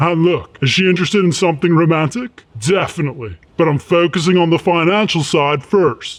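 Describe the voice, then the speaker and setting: Using a cartoonish character voice, a man talks high-pitched and fairly quick, with ordinary pitch variation and hardly any pauses. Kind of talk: cartoon comedy. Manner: bro slang, hyped.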